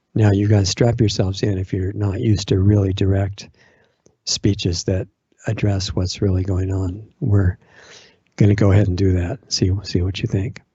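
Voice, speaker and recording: A man speaks in a somewhat breathy voice. His intonation is monotone and flat. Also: fairly low pitch for a man, moderate pace. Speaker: online radio host.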